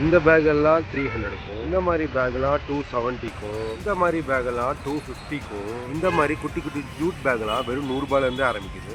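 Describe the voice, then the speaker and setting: A man's fairly high voice, with ordinary pitch variation, is heard while music plays behind him. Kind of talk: street vlog narration about a local market vendor. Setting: outdoors at a street market.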